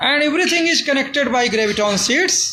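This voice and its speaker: A man with an Indian accent speaks in a raised, projected voice at an extremely high pitch, with noticeable background noise and audible room echo. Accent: non-fluent Indian English. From India, Uttar Pradesh. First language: Hindi. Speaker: amateur physics theorist. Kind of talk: explanatory monologue. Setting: filmed by a camera operator. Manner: halting.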